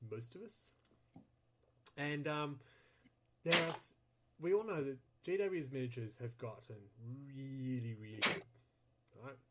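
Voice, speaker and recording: A man with a bright, sharp tone and medium pitch speaks with lively intonation, leaving long, frequent pauses. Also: fairly slow pace, big swings in loudness. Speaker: podcast host. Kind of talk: casual chat. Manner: loud.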